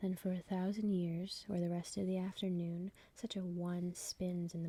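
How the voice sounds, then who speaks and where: The voice is soft-spoken and moves at a moderate pace. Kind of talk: ASMR poetry reading.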